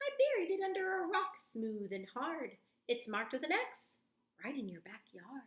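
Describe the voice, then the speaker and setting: A put-on character voice moves through very wide pitch swings at a moderate pace. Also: woman, high pitch for a woman. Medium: read story. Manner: mischievous, giggly.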